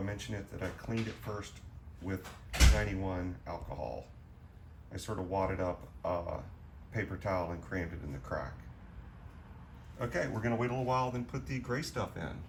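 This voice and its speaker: A man with a relaxed tone and fairly low pitch talks at a fairly quick pace with lively intonation and long, frequent pauses, amid noticeable background noise and audible room echo. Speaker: DIY car repair vlogger. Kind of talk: casual DIY tutorial vlog. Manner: casual, relaxed.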